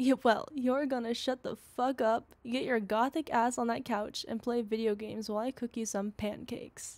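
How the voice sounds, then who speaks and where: A woman's high-pitched voice at a moderate pace, fairly even in intonation, with hardly any pauses. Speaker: voice actor; ASMR roleplay voice actor. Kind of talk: whispered ASMR girlfriend roleplay, intimate scripted confession. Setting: close-mic studio recording. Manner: soft, breathy, tender whisper, giddy and affectionate.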